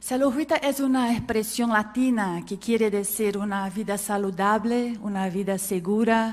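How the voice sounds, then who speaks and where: Audible room echo fills the space around a woman. She speaks in a Portuguese accent at a fairly slow pace. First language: Portuguese (speaking Spanish). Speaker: healthcare quality specialist. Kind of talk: conference talk.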